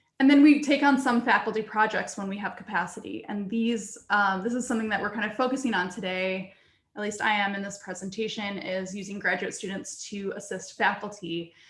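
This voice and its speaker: With noticeable background noise behind her, a woman at a medium pitch speaks at a fairly quick pace with hardly any pauses, ordinary pitch variation and big swings in loudness. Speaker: research computing data services staff. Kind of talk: conference presentation. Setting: video call.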